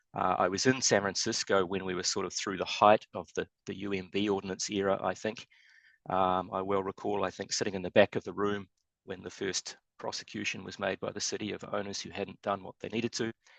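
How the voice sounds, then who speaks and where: The man's fairly low voice stays monotone, with flat intonation. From New Zealand. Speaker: structural engineer. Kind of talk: webinar presentation. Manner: fast.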